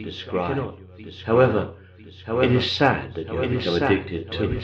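Clearly audible background noise behind a man talking at a moderate tempo. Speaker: clinical hypnotherapist. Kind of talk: hypnosis session, guided relaxation. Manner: calm, soothing.

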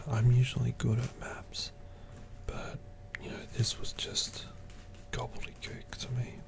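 A man whispering in a relaxed tone at a fairly slow pace, with long, frequent pauses, big swings in loudness and noticeable background noise. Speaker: ASMR creator. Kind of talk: whispered ASMR monologue. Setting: home recording with popcorn eating. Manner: soft whisper, slow and halting; relaxed, hesitant with frequent fillers.

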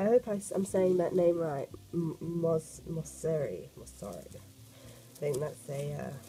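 At a fairly slow pace, a woman talks in a low pitch with a dark, mellow tone and lively intonation.

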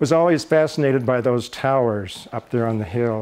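A man with an American accent talks at a moderate pace in an ordinary speaking voice. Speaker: retired broadcaster. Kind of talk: casual talk to camera.

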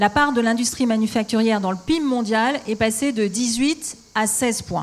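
A woman at a fairly slow pace. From France. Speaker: politician. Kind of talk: panel discussion. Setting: stage with audience. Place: stage. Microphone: handheld.

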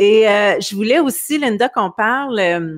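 A woman speaking at a fairly slow pace against a quiet background. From Quebec. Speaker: talk show host. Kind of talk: casual interview. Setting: video call livestream. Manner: hesitant, many fillers. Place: home room. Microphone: studio mic.

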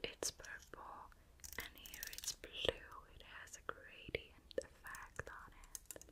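A woman whispers in a calm tone. Her pace is very slow. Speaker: ASMR creator. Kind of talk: ASMR personal attention, whispered role-play. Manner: soft, calm, relaxing.

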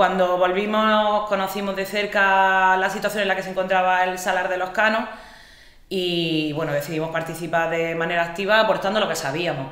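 With strong room echo around her, a woman talks at a fairly quick pace, her fairly low pitch and fairly bright tone held in fairly even intonation.

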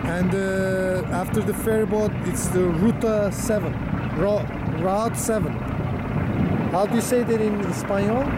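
Through loud background noise, the speech comes at a fairly slow pace with long, frequent pauses. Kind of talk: casual vlog chat. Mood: relaxed, admiring. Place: boat.

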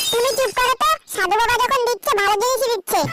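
A squeaky, cartoonish character voice from a woman, extremely high in pitch, at a fairly quick pace. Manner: sarcastic, scolding.

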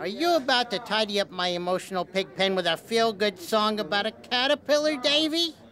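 A cartoonish character voice with fairly high pitch speaks at a fairly quick pace with hardly any pauses. Clear background noise sits behind it. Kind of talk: children's puppet show comedy. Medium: puppet show. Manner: excitable, boisterous.

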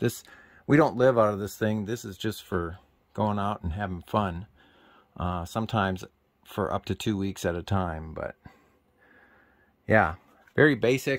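Against a quiet background, a fairly low-pitched man talks with ordinary pitch variation and long, frequent pauses. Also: moderate pace. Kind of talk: casual tour commentary. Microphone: phone near.

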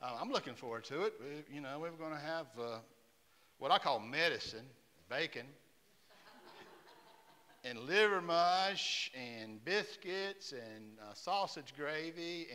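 The voice has a bright, sharp tone and very wide pitch swings, moving at a very slow pace with long, frequent pauses. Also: man. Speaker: church pastor. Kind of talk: church announcements. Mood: warm, jovial. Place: church.

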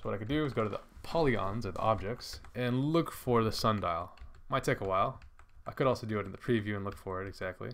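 A man at medium pitch with ordinary pitch variation, talking at a very fast pace. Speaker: video tutorial creator. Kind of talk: tutorial. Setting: screen recording voiceover. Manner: casual, rambling with filler words.

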